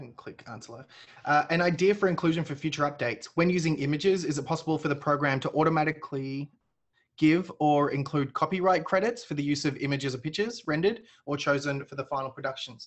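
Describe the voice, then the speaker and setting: Speaking fairly quickly, a man with a fairly high voice shows big swings in loudness and ordinary pitch variation. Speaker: software webinar host. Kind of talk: webinar Q&A and demo. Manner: energetic.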